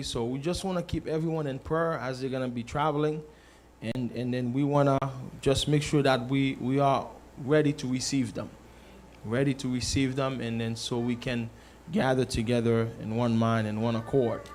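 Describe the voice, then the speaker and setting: A man with a plain, everyday voice speaks at a moderate pace and medium pitch, with fairly even intonation. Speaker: church announcer / congregation member at a church service. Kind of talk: church announcements, casual testimony. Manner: earnest, conversational.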